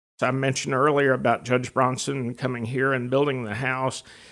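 A man with a medium pitch keeps his intonation fairly even against noticeable background noise. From northeast Florida, Palatka. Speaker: local historian. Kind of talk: guided tour.

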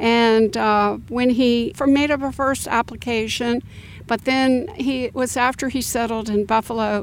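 With an American accent and a normal speaking voice, a woman talks at a moderate pace, her fairly high pitch held in fairly even intonation. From Florida, Orlando area. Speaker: local heritage association director. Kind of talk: interview.

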